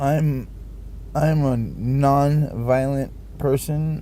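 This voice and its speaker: With an American accent, the man's voice carries clear room echo. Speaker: vlogger. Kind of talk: personal monologue vlog. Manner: loud; halting, many fillers and repeats.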